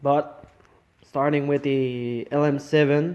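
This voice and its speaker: Speaking very slowly, a man with a Quebec accent uses a fairly high pitch and fairly even intonation. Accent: French Canadian accent in English. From Quebec, French Canada. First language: French. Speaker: car hobbyist. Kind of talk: casual project walkthrough. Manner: halting, with fillers and false starts.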